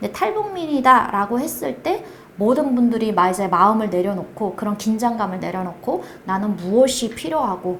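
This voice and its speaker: Lively intonation marks a woman's fairly high voice at a moderate pace. Audible room echo and noticeable background noise accompany her. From North Korea. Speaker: project manager at a support organization. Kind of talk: interview. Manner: halting.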